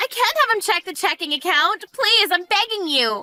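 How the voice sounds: With faint music in the background, a woman uses a put-on character voice at an extremely high pitch, with a bright, sharp tone, lively intonation and a moderate pace.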